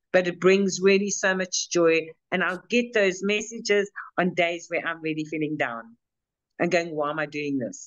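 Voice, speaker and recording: At a moderate pace, a woman talks in a fairly low pitch with ordinary pitch variation. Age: 60s. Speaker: financial abuse expert, mentor. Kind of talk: interview. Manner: halting, many repeated words.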